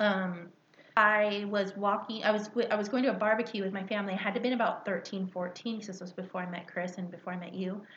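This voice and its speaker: Noticeable background noise beneath fairly quick speech. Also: woman, medium pitch for a woman. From Mexican-American, California. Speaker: podcast co-host. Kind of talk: casual chat. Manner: animated.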